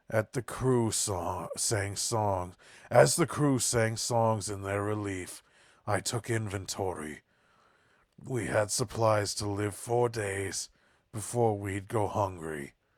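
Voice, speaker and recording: A put-on character voice unfolds at a fairly slow pace on a very clean recording with a silent background. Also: man, fairly low pitch for a man. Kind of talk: improvised game voice acting. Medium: game stream. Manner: rhyming, ballad-like narration.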